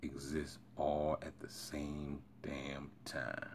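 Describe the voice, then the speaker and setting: Soft-spoken and marked by vocal fry, a man talks at a very deep, low pitch. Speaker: self-help video creator. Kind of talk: reading aloud with commentary. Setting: early morning recording.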